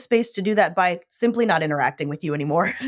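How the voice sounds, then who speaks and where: Loud and very fast, a woman with an American accent swings her pitch very widely on a very clean recording with a silent background. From US Midwest and Southwest (Illinois, Phoenix). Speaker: shark scientist. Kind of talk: interview conversation. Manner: loud, outgoing.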